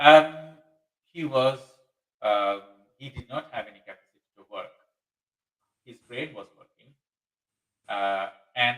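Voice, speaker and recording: A man's medium-pitched voice with a Bangladeshi accent, ordinary pitch variation, a fairly slow pace and long, frequent pauses. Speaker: webinar host. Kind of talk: live webinar discussion. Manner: halting, many fillers.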